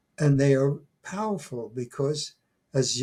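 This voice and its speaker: Fairly high male voice, somewhat breathy, dark and mellow in tone. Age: 80s+. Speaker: retired professor and folklore scholar. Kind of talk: interview. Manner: halting, many fillers and restarts.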